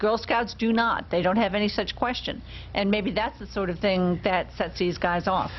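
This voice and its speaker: A woman talks with vocal fry and fairly even intonation. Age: old. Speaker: talk show co-host. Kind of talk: casual chat.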